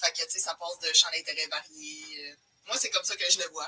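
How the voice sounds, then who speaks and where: Fairly low-pitched speech from a woman, noticeable noise behind it. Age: 20s. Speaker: Excel trainer. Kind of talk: casual chat. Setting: livestream video.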